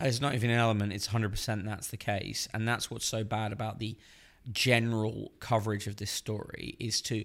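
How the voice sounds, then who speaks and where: In an English accent, a man speaks at a moderate pace with a fairly low pitch. His intonation is monotone and flat, on a very clean recording with a silent background. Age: 30s. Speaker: journalist. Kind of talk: casual chat.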